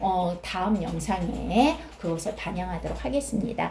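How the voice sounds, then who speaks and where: A woman speaks moderately paced, with noticeable background noise and audible echo from the room. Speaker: exam prep tutor. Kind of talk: tutorial. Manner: halting with fillers.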